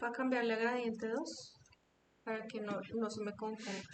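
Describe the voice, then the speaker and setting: With audible room echo around her, a woman speaks at a fairly high pitch in a monotone, flat intonation. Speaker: After Effects instructor. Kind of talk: online tutorial.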